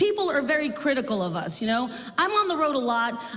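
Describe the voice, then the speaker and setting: At a high pitch and a fairly quick pace, a woman speaks with very wide pitch swings, heard through audible room echo and noticeable background noise. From South Texas. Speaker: comedian. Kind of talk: stand-up. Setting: stage with audience.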